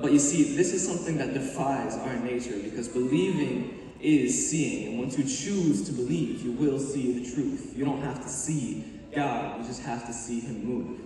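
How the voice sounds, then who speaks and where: A man at a moderate pace with hardly any pauses, animated and passionate, ordinary pitch variation, strong room echo and light background noise. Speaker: spoken word performer. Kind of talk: spoken word poetry, a faith-based performance. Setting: stage with audience, team showcase. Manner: animated, rhythmic, passionate delivery with rhymes. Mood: earnest, faith-driven. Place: stage. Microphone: camera far.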